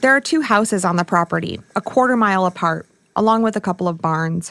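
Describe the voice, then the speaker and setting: A woman with an American accent has an ordinary speaking voice, a medium pitch and lively intonation at a fairly quick pace. The sound is dry and close, with no echo. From rural Michigan. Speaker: podcast host, journalist. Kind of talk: scripted narration.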